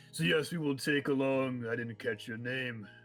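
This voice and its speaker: This put-on character voice belongs to a man talking at a moderate pace. His pitch sits in the medium range. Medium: actual play.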